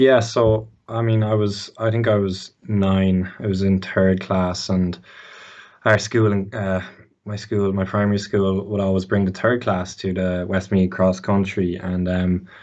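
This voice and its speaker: With an Irish Midlands accent, a man talks at a fairly slow pace and fairly low pitch. His intonation is monotone and flat. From Ireland, Mullingar. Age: 20s. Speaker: student athlete. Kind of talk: podcast interview. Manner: halting.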